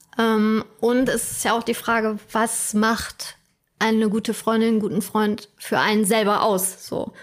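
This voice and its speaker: On a very clean recording with a silent background, a woman with a fairly high pitch speaks at a very slow pace. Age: 30s. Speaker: podcast co-host. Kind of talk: casual chat.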